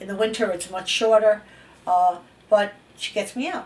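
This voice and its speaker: Noticeable background noise sits behind this speaker. She is a woman with a medium pitch. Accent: New York. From New York City, East Harlem. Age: 70s. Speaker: interviewee. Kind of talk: interview. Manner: casual, conversational.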